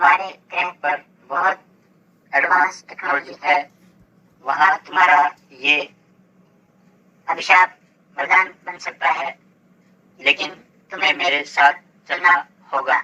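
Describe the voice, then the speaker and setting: A cartoonish character voice at middle pitch moves at a fairly slow pace, broken by long, frequent pauses. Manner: friendly, reassuring.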